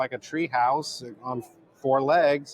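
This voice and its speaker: A man talks at a medium pitch while noticeable background noise runs underneath. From California. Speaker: sociology professor. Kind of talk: podcast interview.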